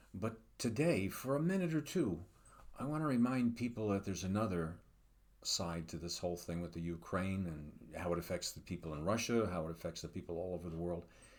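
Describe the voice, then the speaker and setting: A man's very deep, low voice with lively intonation. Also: fairly quick pace. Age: 70s. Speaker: psychologist. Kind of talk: casual commentary monologue. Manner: halting, many fillers.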